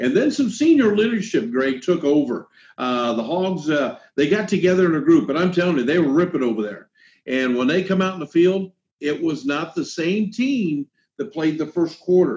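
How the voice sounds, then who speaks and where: The voice, with an American accent, makes very wide pitch swings. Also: man, high pitch for a man, moderate pace. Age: 60s. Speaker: high school football broadcaster. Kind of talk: casual sports chat. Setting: video call. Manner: halting, many fillers.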